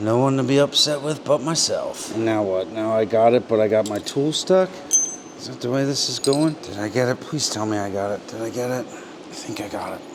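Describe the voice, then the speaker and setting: With noticeable background noise, a man with an American accent speaks at a fairly quick pace in a medium-pitched voice with ordinary pitch variation. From Pennsylvania, US (Pennsylvania Dutch). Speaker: motorcycle mechanic, video host. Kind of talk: casual hands-on workshop chat.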